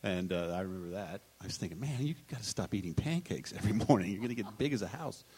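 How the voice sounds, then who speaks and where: Noticeable background noise runs under a man speaking very fast with hardly any pauses, his fairly low voice full of lively intonation. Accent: American. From Texas. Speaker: television comedy writer. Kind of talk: live panel discussion. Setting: stage with audience.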